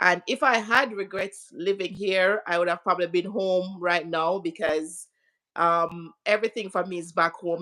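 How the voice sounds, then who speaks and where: In a Jamaican accent, a bright, sharp-toned voice speaks at a moderate pace on a very clean recording with a silent background. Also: woman. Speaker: interview guest. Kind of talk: live stream interview.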